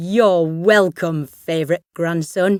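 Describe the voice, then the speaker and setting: A woman puts on a character voice, her pitch fairly low. She talks at a very slow pace, and the sound is dry and close with no echo. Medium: read story. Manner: warm.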